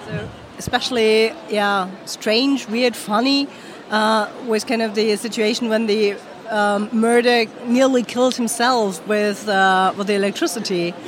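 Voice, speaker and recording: Noticeable background noise sits behind a woman with a fairly high pitch. Her intonation is fairly even and her pace fairly slow. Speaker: interpreter. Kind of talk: interpreting.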